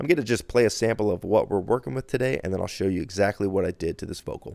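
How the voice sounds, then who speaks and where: A man of fairly low pitch speaks at a very fast pace with ordinary pitch variation. The recording is very clean, and the background is silent. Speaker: audio engineer. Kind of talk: tutorial. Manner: casual, filler-heavy.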